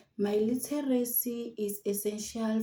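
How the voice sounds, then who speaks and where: Somewhat breathy and dark, mellow in tone, a woman with a South African accent speaks in a monotone, flat intonation. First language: Xitsonga. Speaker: university student. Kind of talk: prepared personal narrative.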